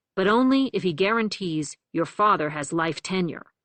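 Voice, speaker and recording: A female-sounding voice growls through a put-on character voice at a medium pitch and a moderate pace. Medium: read story.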